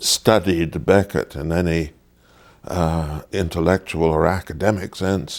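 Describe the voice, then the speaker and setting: In a Canadian accent, a man with a very deep, low pitch speaks fairly slowly and with fairly even intonation. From Ontario, Canada. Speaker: stage actor. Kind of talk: interview. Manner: halting.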